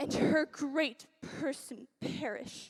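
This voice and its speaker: A woman's put-on character voice, high-pitched and growling. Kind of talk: Shakespearean stage verse. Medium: stage play. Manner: lively, declamatory.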